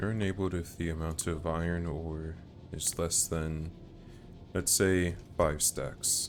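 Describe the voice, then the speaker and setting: A man speaks very slowly in a very deep, low voice, with long and frequent pauses. His intonation stays monotone and flat, and music plays in the background. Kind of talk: gameplay commentary.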